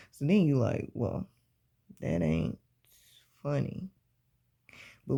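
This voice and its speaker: A dark, mellow voice with a Southern US accent carries lively intonation. The recording is very clean, with a silent background. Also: man. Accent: Southern US, country-sounding. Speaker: book reading channel host. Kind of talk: reading aloud with commentary. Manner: casual, relaxed.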